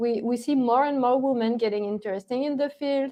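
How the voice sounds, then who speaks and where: This woman has a strong French accent. Her pitch varies in an ordinary way. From France. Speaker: ethical hacker. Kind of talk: interview. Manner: halting, many fillers.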